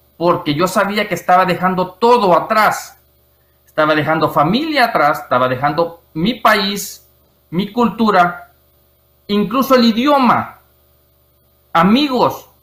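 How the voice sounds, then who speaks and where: Speaking at a very slow pace, a man leaves long, frequent pauses. His voice is high-pitched, with a bright, sharp tone and lively intonation. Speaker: IT expert and writer. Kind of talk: interview testimony. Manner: hesitant, many fillers.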